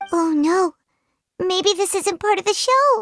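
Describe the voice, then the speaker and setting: A squeaky, put-on character voice sits at an extremely high pitch. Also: fairly slow pace. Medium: video game. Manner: excitable, emotional.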